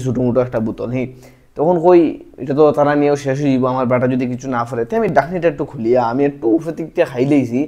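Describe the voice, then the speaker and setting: A dark, mellow tone carries ordinary variation in pitch. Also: man. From Assam, India. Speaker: stand-up comedian. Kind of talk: casual stand-up comedy talk to camera.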